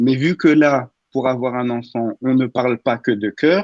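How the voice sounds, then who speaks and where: A man talks at a very slow pace, recorded with a dry, close sound and no echo. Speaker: radio humor columnist. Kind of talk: humorous radio column.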